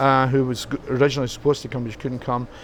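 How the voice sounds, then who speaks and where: Someone speaks with a Scottish accent over noticeable background noise. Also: man. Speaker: musician. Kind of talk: interview. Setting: rock club. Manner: halting.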